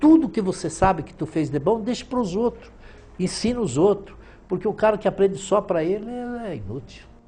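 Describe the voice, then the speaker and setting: This man's voice sits high in pitch, with a dark, mellow tone and lively intonation. His pace is moderate, and his loudness swings widely. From southern Brazil, Rio Grande do Sul, Italian colony. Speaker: businessman, former trade association president. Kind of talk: interview.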